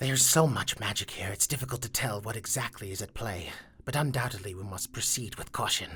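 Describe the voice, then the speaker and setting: Low in pitch, this put-on character voice moves at a fairly quick pace. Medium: actual play. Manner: precise, scholarly.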